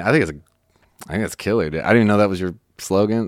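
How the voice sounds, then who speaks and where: With an American accent, a man speaks with vocal fry and ordinary pitch variation on a very clean recording with a silent background. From Chicago, US Midwest. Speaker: songwriter. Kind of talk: casual chat. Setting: studio.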